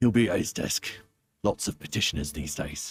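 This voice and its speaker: A man puts on a raspy character voice with a very deep, low pitch. He keeps a moderate pace. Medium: video game.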